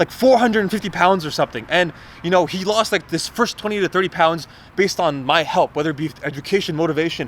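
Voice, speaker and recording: A man shouts loudly at a very fast pace, his pitch high. His tone is animated and his intonation lively. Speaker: fitness vlogger and coach. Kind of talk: motivational rant vlog. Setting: alone, self-recorded vlog. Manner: loud, yelling.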